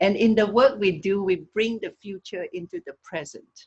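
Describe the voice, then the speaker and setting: A woman's somewhat breathy voice moves along at a moderate speed. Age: 60s. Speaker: wellness teacher. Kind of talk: talk on a video call. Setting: video call.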